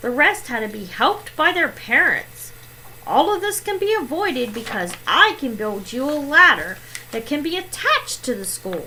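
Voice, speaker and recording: Using a put-on character voice, a woman speaks at a moderate pace in a high pitch with very wide pitch swings, over clear background noise. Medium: read story.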